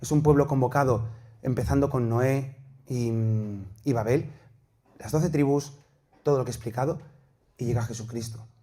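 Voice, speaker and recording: With audible room echo, a man of medium pitch speaks in a dark, mellow tone that is somewhat breathy, with fairly even intonation and long, frequent pauses. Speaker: priest and theology teacher. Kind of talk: lecture. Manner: fast.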